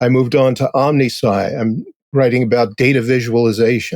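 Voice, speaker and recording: A man at medium pitch speaks at a moderate pace with ordinary pitch variation, the sound dry and close with no echo. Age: 60s. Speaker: technical writer. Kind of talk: interview.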